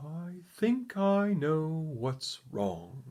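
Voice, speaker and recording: A man puts on a character voice, pitched fairly high. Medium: read story.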